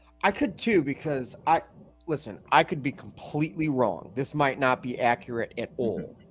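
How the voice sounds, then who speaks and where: A man with an American accent, fairly high pitch, lively intonation and moderate pace, with music in the background. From Chicago. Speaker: podcast host. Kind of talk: casual chat. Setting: live stream.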